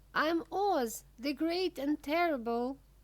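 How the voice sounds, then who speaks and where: Put-on character voice from a woman, pitched high, moving at a moderate pace. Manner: frightened, timid.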